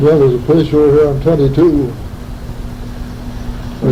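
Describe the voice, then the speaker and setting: A man with an American accent talks at a moderate pace and a fairly high pitch. There is noticeable background noise. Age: 80s+. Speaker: farmer. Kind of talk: interview answer.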